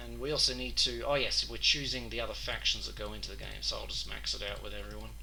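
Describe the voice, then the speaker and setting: Over noticeable background noise and audible room echo, a man with an Australian accent talks at a very fast pace with hardly any pauses, his very deep, low pitch held in a monotone, flat intonation. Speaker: gaming youtuber. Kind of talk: gameplay commentary.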